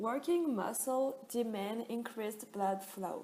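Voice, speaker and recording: In a French accent, a woman speaks very slowly at a fairly high pitch with ordinary pitch variation. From France. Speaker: student. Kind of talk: class presentation.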